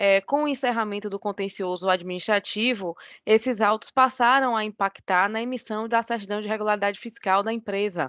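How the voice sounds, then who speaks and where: With a Bahian accent, a woman talks at a fairly quick pace in a fairly high pitch, ordinary pitch variation and hardly any pauses. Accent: Bahian Brazilian. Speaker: lawyer. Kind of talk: oral argument in court. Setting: video call. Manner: formal.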